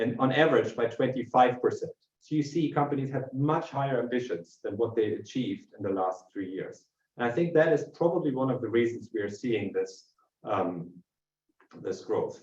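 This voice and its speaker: The speech is fairly quick and somewhat breathy, with lively intonation. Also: man. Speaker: industry market analyst. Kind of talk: webinar presentation. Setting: online webinar. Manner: fast.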